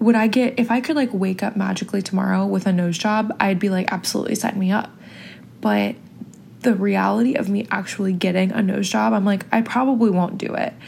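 With an American accent, a woman speaks at a fairly quick pace with ordinary pitch variation. Her pitch is medium, and there is noticeable background noise. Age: 20s. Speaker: podcast host. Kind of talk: casual solo monologue. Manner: chatty, filler-heavy.

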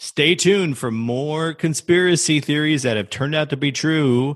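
With a plain, everyday voice, a man talks at a fairly high pitch using lively intonation. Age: 40s. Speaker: podcast host. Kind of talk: casual chat.

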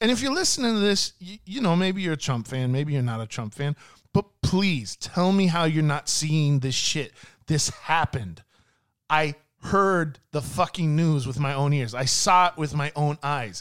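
This man has an ordinary speaking voice with a fairly high pitch. He talks at a fairly slow pace. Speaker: podcast co-host. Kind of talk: angry rant about lockdowns and media, with cursing. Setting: casual podcast chat.

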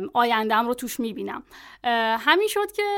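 On a very clean recording with a silent background, a woman talks at a very fast pace and high pitch, her voice making very wide pitch swings. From Iran, Tabas. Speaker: translator and content marketer. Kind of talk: podcast interview.

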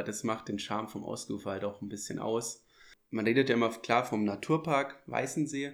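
In an ordinary speaking voice, a man talks at a fairly quick pace and medium pitch, in a very clean recording with a silent background. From Munich, Germany. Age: 20s. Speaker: dive instructor. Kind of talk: casual interview. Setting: on location by a lake.

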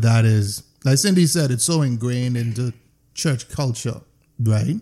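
Speaking at a moderate pace, a man shows lively intonation and a dark, mellow tone that is somewhat breathy. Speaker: podcast host. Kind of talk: casual chat. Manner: animated.

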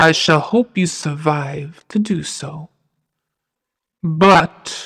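A woman puts on a booming character voice. She speaks at a very slow pace. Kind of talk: horror audio drama. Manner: cold, proud, mocking, imperious.

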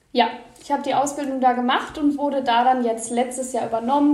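Audible room echo surrounds a woman speaking at a high pitch with ordinary pitch variation. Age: 20s. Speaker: bookseller and book content creator. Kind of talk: podcast interview.

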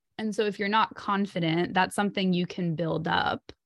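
Heard up close and dry with no echo, a woman has an ordinary speaking voice at a medium pitch with ordinary pitch variation. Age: 30s. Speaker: relationship anxiety coach. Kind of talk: interview.

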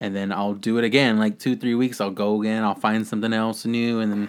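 At a fairly quick pace, a man speaks at a medium pitch in an ordinary speaking voice. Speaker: podcast host. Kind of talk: casual chat. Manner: casual, laid-back.

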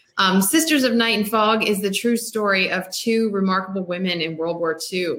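With an American accent, a woman at medium pitch talks at a fairly quick pace in a bright, sharp tone with ordinary pitch variation. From US, Maryland. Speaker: novelist. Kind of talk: casual chat. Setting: video call.

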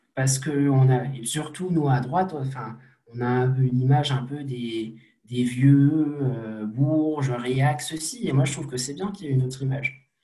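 A man speaks at a medium pitch with fairly even intonation. The room echo is audible. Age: 20s. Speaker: young political activist. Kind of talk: interview.

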